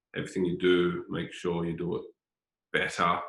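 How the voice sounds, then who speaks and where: A man talks at a moderate pace. He speaks with a strong Australian accent. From Australia, Sydney North Shore. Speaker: former footballer, football director. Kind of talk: interview conversation. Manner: repetitive, hesitant with filler words.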